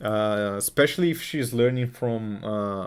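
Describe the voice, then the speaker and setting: At a fairly slow pace, a man speaks with a Portuguese accent and ordinary pitch variation. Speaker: crypto trading streamer. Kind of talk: live stream technical analysis and chat reading. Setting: live stream. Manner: casual, repetitive with fillers.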